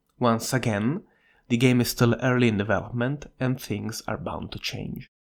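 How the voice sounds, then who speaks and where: In a very clean recording with a silent background, a medium-pitched man talks at a moderate pace with fairly even intonation and vocal fry. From Italy. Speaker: indie game developer. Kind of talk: devlog narration.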